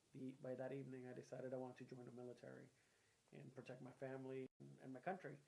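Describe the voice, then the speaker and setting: At a very fast pace, a man talks in a dark, mellow tone at medium pitch, with monotone, flat intonation. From Puerto Rico, then Boston from age eleven. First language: Spanish. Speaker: local politician, former mayor and army veteran. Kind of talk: interview.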